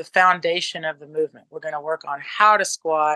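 The recording is dry and close with no echo, as a woman talks at a fairly quick pace in a bright, sharp tone with ordinary pitch variation.

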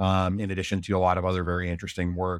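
Dry, close sound with no echo, a man at a fairly quick clip. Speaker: podcast host. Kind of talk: interview, semi-scripted intro then casual conversation. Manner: hesitant, filler-heavy.

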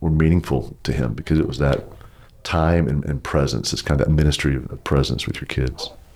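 A man with a Texas accent, very deep and low in pitch, with vocal fry, fairly even intonation and a fairly quick pace. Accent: Southern US, Texas. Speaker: pastor. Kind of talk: casual interview conversation.

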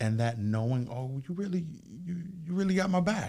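Somewhat breathy, a man's dark, mellow voice carries lively intonation. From Jamaica. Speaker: youth outreach worker. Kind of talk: casual chat.

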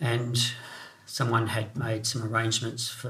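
Audible room echo surrounds a man with an Australian accent who speaks at a moderate pace and medium pitch in a monotone, flat intonation. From South Australia. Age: 50s. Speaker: bereaved father sharing his story. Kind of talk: testimony. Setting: home kitchen studio.

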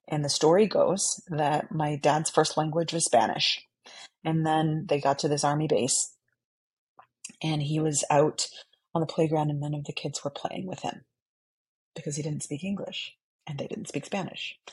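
Very deep and low for a woman, this somewhat breathy voice with an American accent keeps fairly even intonation at a moderate pace, with long, frequent pauses. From Texas (San Antonio). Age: 40s. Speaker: theatre director and foundation program officer. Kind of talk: interview conversation. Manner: hesitant, many fillers.

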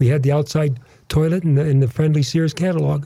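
Fairly high pitch from a man, somewhat breathy, dark and mellow in tone. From US Midwest (northern Wisconsin). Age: 80s+. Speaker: veteran drag racer. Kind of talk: radio interview. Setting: studio.

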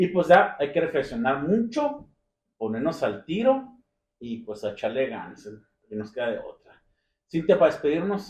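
A man's fairly high voice with vocal fry, very wide pitch swings and big swings in loudness. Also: moderate pace. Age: 40s. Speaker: podcast host. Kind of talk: casual chat.

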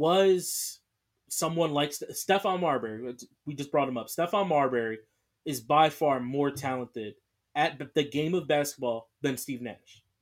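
A man with an American accent has a plain, everyday voice at a fairly high pitch, with ordinary pitch variation. He speaks at a moderate pace in a very clean recording with a silent background. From US Northeast, Philadelphia. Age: 20s. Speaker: sports podcast host. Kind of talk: solo podcast monologue.

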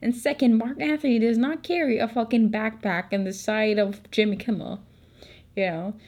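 A woman with a Filipino accent speaks at a moderate pace in a fairly high pitch, using an animated tone with ordinary pitch variation. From Philippines. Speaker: podcaster. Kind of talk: casual storytelling.

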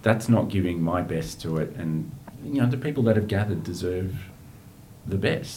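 A man with an Australian accent speaks at a moderate pace in a fairly low, somewhat breathy voice. Audible room echo surrounds the recording. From Australia, outer eastern Melbourne. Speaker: aid worker and writer. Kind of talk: interview conversation.

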